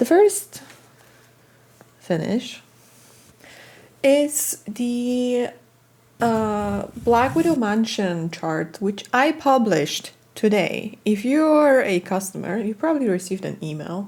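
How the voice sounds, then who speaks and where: A woman with a Polish accent speaks at a very slow pace with long, frequent pauses. Her fairly high pitch moves in very wide swings. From Poland, countryside. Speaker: cross-stitch designer and video blogger. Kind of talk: casual monologue to camera.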